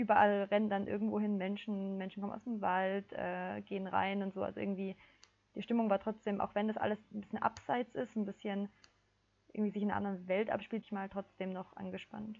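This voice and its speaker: Flat and monotone, a woman talks at a fairly quick pace and medium pitch. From southern Germany (Ulm). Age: 20s. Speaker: climate activist, psychology student. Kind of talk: casual interview.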